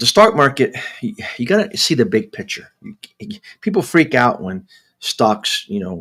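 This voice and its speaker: Bright and sharp in tone, a man's fairly high voice with vocal fry moves at a moderate pace through very wide pitch swings and big swings in loudness. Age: 60s. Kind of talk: casual livestream talk. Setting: live stream. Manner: halting with many repetitions. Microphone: new microphone.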